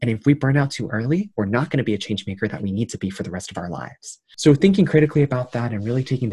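This man has an American accent and a dark, mellow, somewhat breathy tone. He goes at a very fast pace with ordinary pitch variation. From Queens, New York. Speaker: youth delegate and graduate student. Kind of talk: interview. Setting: remote call.

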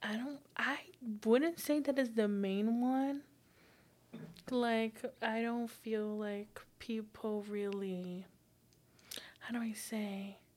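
A woman with a Portuguese accent at a very slow pace, with ordinary pitch variation and long, frequent pauses. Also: fairly high pitch for a woman. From Brazil. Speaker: psychology student. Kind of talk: casual chat.

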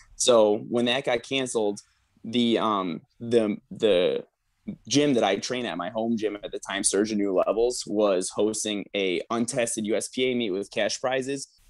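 Using a normal speaking voice, a man talks at medium pitch and a fairly slow pace. His intonation is fairly even. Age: 20s. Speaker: powerlifter and coach. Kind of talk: casual chat.

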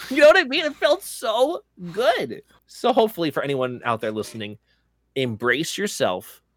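A loud man speaks in an energetic tone with very wide pitch swings. The sound is dry and close, with no echo. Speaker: gaming podcast co-host and streamer. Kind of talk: casual chat. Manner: loud, energetic.

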